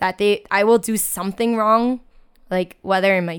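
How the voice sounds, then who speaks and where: A woman's normal speaking voice in an American accent, medium pitched, at a moderate pace with fairly even intonation, on a very clean recording with a silent background. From US, New York Chinatown. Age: 20s. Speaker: teacher. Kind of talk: casual chat.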